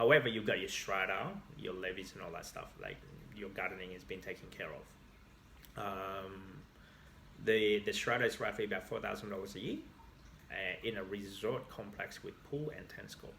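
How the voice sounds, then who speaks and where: A man with an Australian accent speaks at a moderate pace, his fairly low voice carrying vocal fry and a bright, sharp tone. His pitch varies in an ordinary way while his loudness swings widely, and room echo is audible. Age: 30s.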